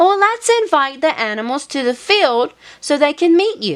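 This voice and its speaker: A woman puts on a character voice. It is squeaky and high-pitched. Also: moderate pace. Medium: read story. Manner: patient, gentle.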